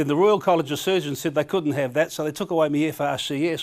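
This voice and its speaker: This man has a New Zealand accent. His pitch is fairly high, with ordinary variation. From New Zealand, Auckland and Bay of Plenty. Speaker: comedian. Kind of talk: casual chat; stand-up.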